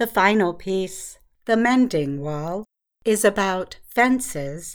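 Over a silent background in a very clean recording, a woman speaks at a medium pitch. Her pace is very slow and her intonation lively. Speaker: radio announcer. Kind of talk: scripted news-style narration of an introduction. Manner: formal, clear, slow, even-paced.

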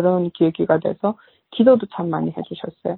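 A woman speaks at a medium pitch and a moderate pace. It is an unremarkable speaking voice. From North Korea. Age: 30s. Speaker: North Korean defector and human rights activist. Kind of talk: interview testimony.

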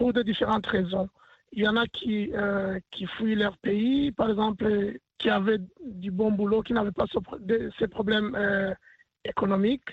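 A man speaks at a high pitch and a fairly slow pace. His intonation stays fairly even. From Burundi. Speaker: community leader and basketball team head. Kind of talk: radio interview. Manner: hesitant, many fillers and repetitions.

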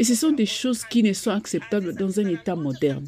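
Somewhat breathy, a woman's medium-pitched voice carries a dark, mellow tone. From Nigeria. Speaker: activist. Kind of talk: interview soundbite.

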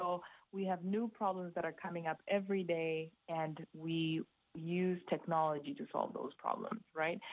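A woman has a normal speaking voice, fairly low in pitch with ordinary pitch variation. She talks at a moderate pace. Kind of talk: recorded interview clip.

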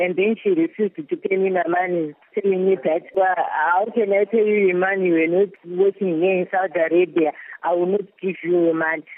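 A woman speaks with a Zimbabwean accent at a medium pitch and a fairly quick pace. Her intonation is fairly even and her loudness very even. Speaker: trafficking victim. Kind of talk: testimony. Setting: shelter in Kuwait, remote.

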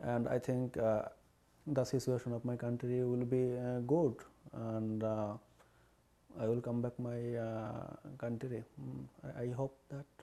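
Speaking with a Bengali accent, a man uses a dark, mellow tone and monotone, flat intonation at a fairly slow pace, with long, frequent pauses. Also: medium pitch for a man. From Bangladesh (Barisal). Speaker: poet and writer in exile. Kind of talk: interview. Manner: halting.

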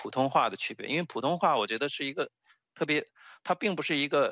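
Talking at a very fast pace, this man has a fairly high voice. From China. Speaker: stand-up comedian and political science PhD. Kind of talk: interview. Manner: halting, many fillers and repetitions.

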